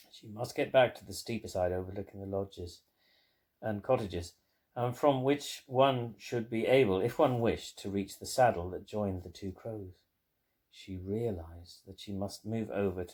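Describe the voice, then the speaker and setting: Heard on a very clean recording with a silent background, a man uses a normal speaking voice at a moderate pace, with a fairly low pitch, ordinary pitch variation, and big swings in loudness. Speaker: family member reading a grandmother's memoir aloud to their mother. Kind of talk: memoir read aloud.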